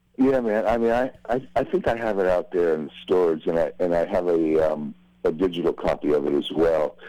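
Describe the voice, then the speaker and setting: With an American accent, a man speaks at a fairly quick pace in a very deep, low voice with lively intonation. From US, San Francisco Bay Area suburbs. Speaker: drummer. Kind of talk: interview. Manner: mellow.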